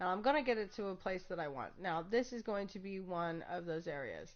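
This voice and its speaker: Hers is a plain, everyday voice, medium in pitch with ordinary pitch variation. The woman talks at a moderate pace. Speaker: gaming streamer. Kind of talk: tutorial. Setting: live stream.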